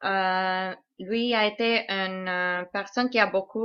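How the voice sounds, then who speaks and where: With a non-native accent, a woman speaks very slowly at a medium pitch in a monotone, flat delivery. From Canada. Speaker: conspiracy video maker. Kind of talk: translated commentary. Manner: halting, many hesitations.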